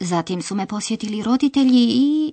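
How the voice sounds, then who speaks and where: Somewhat breathy and dark, mellow in tone, a woman with a fairly high pitch and lively intonation speaks at a moderate pace against a quiet background. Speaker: language course presenter. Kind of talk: language lesson narration. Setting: studio. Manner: formal.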